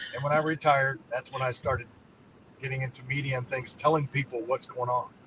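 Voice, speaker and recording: A man talks very fast at a medium pitch. His intonation is monotone and flat. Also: long, frequent pauses. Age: 60s. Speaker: military veteran and political candidate. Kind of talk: interview. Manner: halting.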